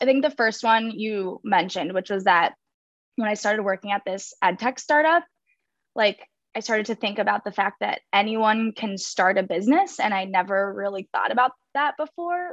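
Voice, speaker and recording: A woman with an unremarkable speaking voice talks at a moderate pace and medium pitch, her intonation lively. The sound is dry and close with no echo over a quiet background. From Minnesota, Minneapolis area. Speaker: social club founder. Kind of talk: casual chat.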